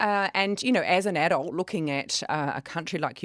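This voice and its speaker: A woman with a slight New Zealand accent speaks at a fairly quick pace with lively intonation, in a very clean, dry, close recording with a silent background and no echo. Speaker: kindness organisation director. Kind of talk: radio interview.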